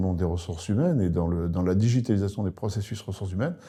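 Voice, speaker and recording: Against a quiet background, a man talks at a very fast pace in a dark, mellow tone. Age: 60s. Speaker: public sector sales manager. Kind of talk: recruitment video interview. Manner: hesitant, many fillers.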